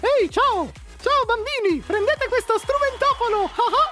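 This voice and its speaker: Clear background noise sits behind a put-on character voice. It is pitched extremely high and moves at a fairly slow pace. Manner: cartoonish, cheerful.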